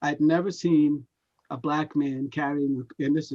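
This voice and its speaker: With a dark, mellow tone and fairly high pitch, a man speaks in a monotone, flat intonation, the sound dry and close with no echo. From Rhode Island, Providence. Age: 70s. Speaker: singer-songwriter. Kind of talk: interview. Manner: halting, many fillers.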